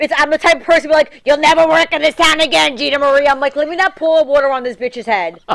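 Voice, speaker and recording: A woman with a strong New York accent speaks loudly at a very fast pace with hardly any pauses, in a high pitch with ordinary pitch variation. Her tone is animated, and the sound is dry and close with no echo. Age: 40s. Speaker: reality TV star and model. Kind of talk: casual chat. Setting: studio.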